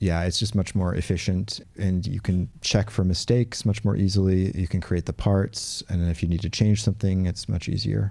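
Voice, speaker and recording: A man with an American accent at a moderate pace, hardly any pauses, fairly even intonation, very clean recording with a silent background. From US Pacific Northwest, Portland. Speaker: studio drummer and orchestrator. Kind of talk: interview. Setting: studio.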